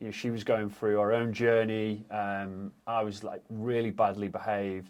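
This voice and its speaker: Against a quiet background, a man speaks at a moderate pace with a fairly low pitch and monotone, flat intonation. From northern England, Macclesfield, Cheshire. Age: 30s. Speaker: fitness and sobriety coach. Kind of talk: interview.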